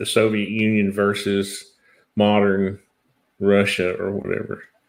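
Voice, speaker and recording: Speaking at a fairly slow pace, a man with a fairly low pitch has an ordinary speaking voice. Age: 50s. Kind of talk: casual live stream chat.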